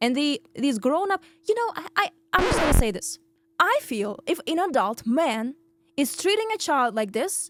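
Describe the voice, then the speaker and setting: Speaking at a moderate pace with a Russian accent, a woman uses a high pitch, very wide pitch swings and an animated tone. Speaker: podcast host. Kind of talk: storytelling monologue.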